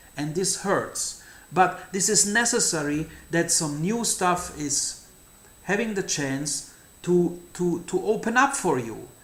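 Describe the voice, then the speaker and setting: Through audible room echo, a man speaks very slowly at a high pitch with lively intonation. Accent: German. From Germany. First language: German. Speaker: numerology channel host. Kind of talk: monologue to camera. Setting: outdoors. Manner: halting, with fillers and repetitions.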